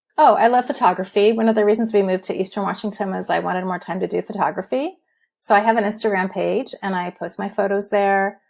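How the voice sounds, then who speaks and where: In an American accent, a woman talks at a very fast pace. Her pitch is medium, with vocal fry. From Southern California. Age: 60s. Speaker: retired dietitian, patient guest. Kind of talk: interview testimony.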